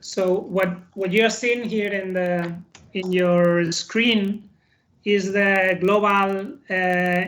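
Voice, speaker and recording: Someone speaks at a very slow pace in a Spanish accent. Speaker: corporate employee presenting a project. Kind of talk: business presentation. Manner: halting, many fillers.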